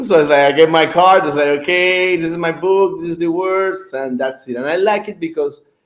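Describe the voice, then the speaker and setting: A high-pitched man with a non-native accent. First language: not English. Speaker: author. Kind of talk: interview. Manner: halting, many fillers.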